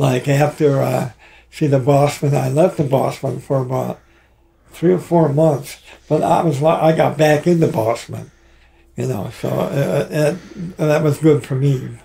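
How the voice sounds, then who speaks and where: Amid noticeable background noise, a man with an American accent and a fairly high pitch speaks fairly slowly with fairly even intonation. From Michigan. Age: 80s+. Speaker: rock drummer. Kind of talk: casual interview. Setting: studio. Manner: halting.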